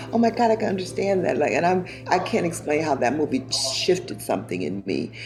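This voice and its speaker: Over music in the background, a woman speaks at a fairly quick pace in a very deep, low voice with very wide pitch swings. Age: 60s. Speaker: university president. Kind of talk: interview.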